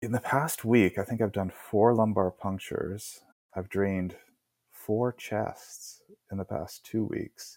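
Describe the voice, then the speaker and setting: A man with a Canadian accent speaks in a normal speaking voice, fairly low and fairly even in intonation. The sound is dry and close with no echo. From Port Moody, BC, Canada. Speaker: rural doctor (GP anesthetist). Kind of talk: interview.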